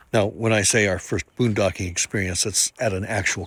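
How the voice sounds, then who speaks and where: A man's ordinary speaking voice, fairly low in pitch with fairly even intonation, in a very clean recording with a silent background. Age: 60s. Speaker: RV travel vlogger. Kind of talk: casual vlog narration.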